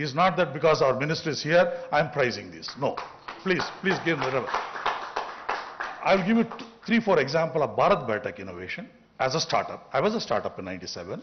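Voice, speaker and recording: A man with a fairly high pitch talks at a very fast pace, his pitch swinging very widely, with audible room echo and noticeable background noise. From India. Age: 60s. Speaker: business founder. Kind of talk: off-the-cuff conference speech. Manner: halting.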